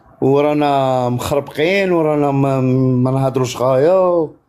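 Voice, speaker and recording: A man with an Algerian accent speaks very slowly in a dark, mellow, fairly high voice. His pitch varies in an ordinary way. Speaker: caller. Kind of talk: heated debate.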